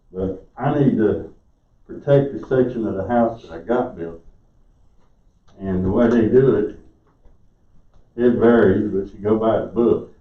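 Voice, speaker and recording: Speaking with a South Carolina accent at a medium pitch, a man talks at a fairly slow pace with ordinary pitch variation, big swings in loudness, long and frequent pauses, and audible room echo. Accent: Southern US (South Carolina). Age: 60s. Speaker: resident speaking at public comment. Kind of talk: public comment at council meeting. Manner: halting.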